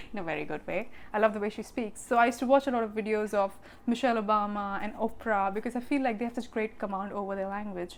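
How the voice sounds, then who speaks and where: A woman with an Indian accent, fairly high in pitch, at a very fast pace. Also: fairly even intonation. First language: Hindi. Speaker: vlogger. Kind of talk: casual vlog talk.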